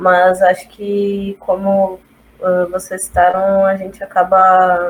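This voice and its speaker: A woman with a medium pitch speaks at a very slow pace. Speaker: design student. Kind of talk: casual chat.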